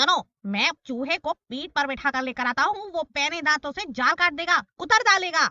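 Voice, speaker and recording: This cartoonish character voice moves along at a moderate pace. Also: woman, high pitch for a woman. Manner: steady, sensible.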